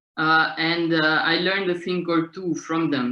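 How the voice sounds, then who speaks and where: Speaking at a fairly slow pace, a woman with a Slovenian accent uses a very deep, low pitch. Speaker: street theatre director and author. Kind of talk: seminar talk. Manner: halting.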